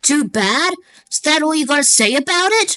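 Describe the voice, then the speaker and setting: A woman's high-pitched, put-on character voice at a moderate pace, with very wide pitch swings. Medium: fan dub. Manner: gruff, threatening.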